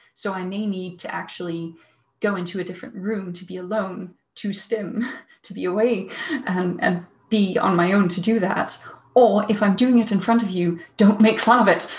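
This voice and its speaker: Her loudness swinging widely, a woman speaks at a moderate pace with ordinary pitch variation in a room with audible echo. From Denmark. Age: 30s. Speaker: psychologist; webinar presenter. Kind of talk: webinar talk. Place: home room. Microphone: earbuds.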